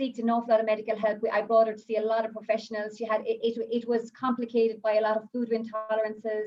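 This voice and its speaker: In an Irish accent, a woman with a fairly high pitch talks at a fairly quick pace, her intonation monotone and flat. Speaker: essential oils advocate and mother. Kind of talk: live-streamed panel talk, personal testimony. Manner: halting, many fillers and restarts.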